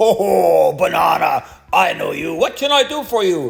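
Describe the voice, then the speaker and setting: At a moderate pace, a man performs a put-on character voice. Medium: read story. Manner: imperious.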